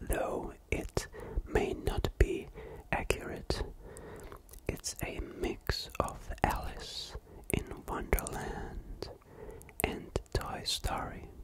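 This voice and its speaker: A calm whisper moves at a very slow pace over noticeable background noise. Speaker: ASMR creator. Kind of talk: ASMR book review, whispered talk to camera. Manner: whispered, calm.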